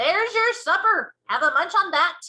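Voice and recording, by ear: A woman performs a put-on character voice with an extremely high pitch and a bright, sharp tone. Her intonation is lively and her pace is moderate.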